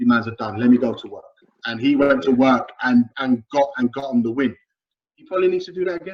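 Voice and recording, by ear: A man talks fast at a medium pitch with ordinary pitch variation and a slightly husky edge.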